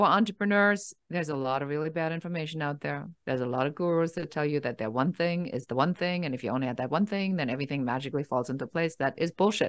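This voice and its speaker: Against a quiet background, a woman with a German accent and a very deep, low pitch speaks at a very fast pace with lively intonation and hardly any pauses. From Germany. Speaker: business coach. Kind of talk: interview. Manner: direct, no-nonsense.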